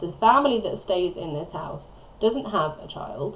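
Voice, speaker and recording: Mumbling, a woman speaks at a medium pitch with very wide pitch swings. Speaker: gaming video creator. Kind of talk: voiceover commentary on a speed build. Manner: rambling, chatty.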